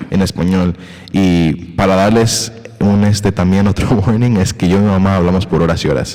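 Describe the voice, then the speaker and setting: Over noticeable background noise, a man talks at a moderate pace with a very deep, low pitch, fairly even intonation and very even loudness. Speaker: podcast host. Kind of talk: casual conversation. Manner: halting, hesitant with English fillers.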